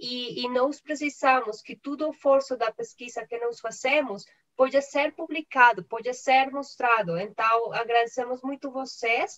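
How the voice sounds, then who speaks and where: The speech moves at a fairly slow pace with ordinary pitch variation and big swings in loudness, in a dry, close sound with no echo. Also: woman, high pitch for a woman. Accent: non-native. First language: not Portuguese (speaking Portuguese). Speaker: conference moderator and interpreter. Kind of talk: formal closing remarks. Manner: halting.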